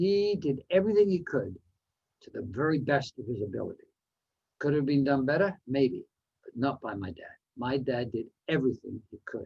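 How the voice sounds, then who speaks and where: A man speaks at a moderate pace in a somewhat breathy, dark and mellow voice of fairly high pitch, with long, frequent pauses. His pitch swings very widely and his loudness shifts a lot. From Canada, New Westminster, British Columbia. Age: 70s. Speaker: motivational speaker. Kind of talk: speech.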